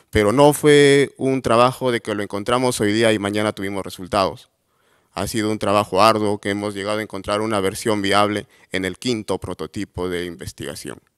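A man talks fairly quickly in a normal speaking voice, pitched fairly low. His pitch varies in an ordinary way, and the background is quiet. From Peru, Cajamarca; Peru. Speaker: entrepreneur, agronomist; presenter. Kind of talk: award presentation talk. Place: hall. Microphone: podium.

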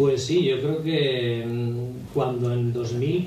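A man speaks with ordinary pitch variation, with light background noise and audible room echo. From Aragon, Spain. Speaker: radio announcer and impressionist. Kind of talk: radio interview answer. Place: hall.

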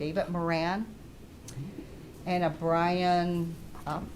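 Audible room echo surrounds a woman's fairly low voice as she speaks at a very slow pace. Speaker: public commenter at meeting. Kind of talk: public comment at township meeting. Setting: township hall meeting. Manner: loud.

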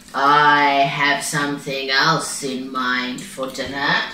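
Someone puts on a character voice at a low-to-middle pitch and a very slow pace, with slight echo. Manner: menacing, sly.

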